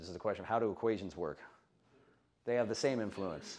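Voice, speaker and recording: Words come at a very fast pace. The background is quiet. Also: man. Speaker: fitness coach. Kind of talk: lecture. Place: meeting room.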